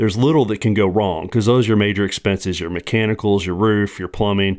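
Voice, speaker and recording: Here is an unremarkable speaking voice from a man, fairly low in pitch. He goes at a fairly quick pace with fairly even intonation. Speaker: real estate investor. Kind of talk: casual chat. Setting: studio.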